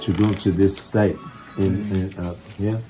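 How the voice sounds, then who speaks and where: A man at a fairly slow pace and fairly low pitch, with music in the background. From New York. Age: 80s+. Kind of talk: interview answer.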